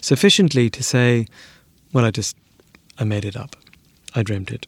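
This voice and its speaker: Quiet and at a moderate pace, a man speaks with a slight South African accent. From South Africa, Cape Town. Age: 50s. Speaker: business owner recounting a ghost experience. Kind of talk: personal testimony interview. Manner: quiet, measured.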